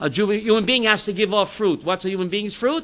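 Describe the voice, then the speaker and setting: A man at a moderate pace uses a raised, projected voice, high in pitch, bright, sharp and animated in tone. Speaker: rabbi teaching a class. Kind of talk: Torah class with audience questions. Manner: loud.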